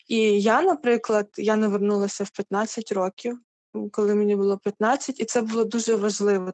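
With a dry, close sound and no echo, a woman speaks in an ordinary speaking voice at a medium pitch and moderate pace, her intonation fairly even. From Ukraine. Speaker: church youth ministry worker. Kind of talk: interview.

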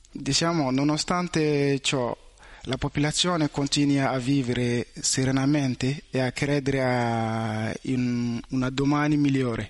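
Fairly even intonation at a fairly slow pace. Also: man. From Mali. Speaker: student. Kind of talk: testimony. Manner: halting.

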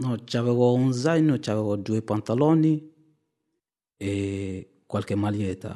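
A man's very slow voice at a medium pitch, with a dark, mellow tone. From Mali. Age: 30s. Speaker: refugee. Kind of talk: testimony. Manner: halting.

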